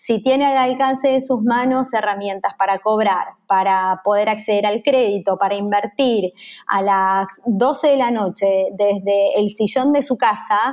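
At a fairly slow pace and with a Rioplatense accent, the voice keeps ordinary pitch variation, hardly any pauses and very even loudness against a quiet background. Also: woman, fairly high pitch for a woman. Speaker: business executive. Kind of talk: interview.

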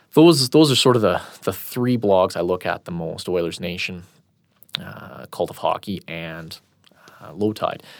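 With a Canadian accent, a man speaks in a very deep, low voice with lively intonation and big swings in loudness, on a very clean recording with a silent background. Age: 30s. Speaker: hockey blog editor. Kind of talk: casual interview. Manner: halting, many repeated words.

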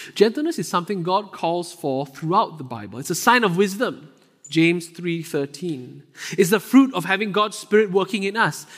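A man with a Singaporean accent, high-pitched for a man, at a moderate pace with lively intonation. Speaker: associate pastor. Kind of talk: sermon. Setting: church.

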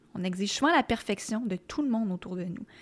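A woman with a Quebec accent talks at a fairly quick pace in a fairly high, somewhat breathy voice. The recording is very clean, with a silent background. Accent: Québécois French. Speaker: podcast host. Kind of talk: monologue intro; interview. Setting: studio.

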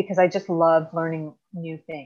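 A woman's fairly low-pitched voice with an American accent. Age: 50s. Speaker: fitness coach and veteran. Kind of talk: casual interview chat.

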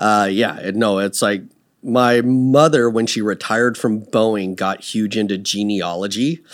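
A man with a West Coast US accent speaks at a fairly slow pace and a fairly low pitch, using ordinary pitch variation. The recording is very clean, with a silent background. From US Pacific Northwest, Seattle area. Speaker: business owner. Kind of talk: casual interview.

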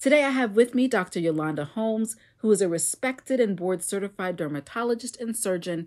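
A woman with an unremarkable speaking voice talks at a fairly quick pace, her intonation lively. The recording is very clean, with a silent background. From Florida. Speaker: podcast host. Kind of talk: scripted narration.

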